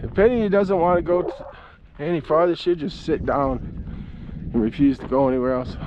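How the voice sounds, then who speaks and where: Male voice, high pitch for a man, moderate pace with long, frequent pauses, ordinary pitch variation, over noticeable background noise. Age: 70s. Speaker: vlogger. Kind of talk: casual chat. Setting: outdoors. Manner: halting.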